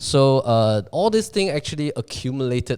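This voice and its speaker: A man speaks with a Chinese accent. The recording is very clean, with a silent background. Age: 30s. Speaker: real estate agency founder. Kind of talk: podcast interview. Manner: hesitant, many fillers.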